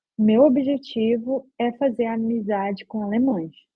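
An unremarkable speaking voice, its pitch moving in an ordinary way. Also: woman. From Brazil, Belém do Pará. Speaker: software QA engineer. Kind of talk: casual interview.

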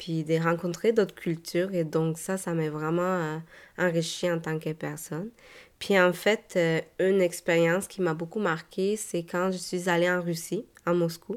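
On a very clean recording with a silent background, a woman with a Spanish accent speaks at a fairly low pitch in monotone, flat intonation. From Mexico, Guadalajara. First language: Spanish (speaking French). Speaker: podcast host. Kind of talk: personal testimony monologue. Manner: hesitant, many repeated words and fillers.

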